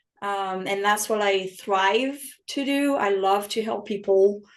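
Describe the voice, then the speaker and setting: A woman speaks in a French accent at a medium pitch with ordinary pitch variation. Her pace is very slow. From France. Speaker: health and wellness coach. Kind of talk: podcast interview.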